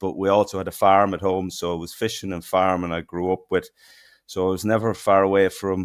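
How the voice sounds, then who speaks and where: With a strong Irish accent, a man speaks in a very deep, low pitch at a moderate pace, his intonation monotone and flat, on a very clean recording with a silent background. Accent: broad Irish. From southeast Ireland, near Kilmore Quay. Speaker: fishing technology company co-founder. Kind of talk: podcast interview.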